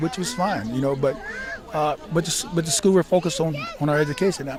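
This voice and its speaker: Over crowd noise in the background, a man with an American accent talks with ordinary pitch variation. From US South, Memphis, Tennessee. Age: 60s. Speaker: military veteran, veterans' organization leader. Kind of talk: interview. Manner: halting, many repetitions.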